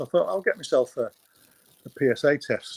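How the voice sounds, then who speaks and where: A man with a Manchester accent talks at a fairly quick pace in a dry, close sound with no echo. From northern England, Stockport near Manchester. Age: 60s. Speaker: retired cancer patient, program client. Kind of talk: personal testimony in interview.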